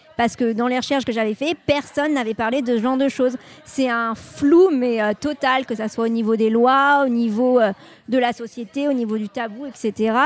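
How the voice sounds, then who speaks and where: A woman with a plain, everyday voice talks fairly slowly at a fairly high pitch, her intonation fairly even. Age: 20s. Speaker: journalist. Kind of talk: interview.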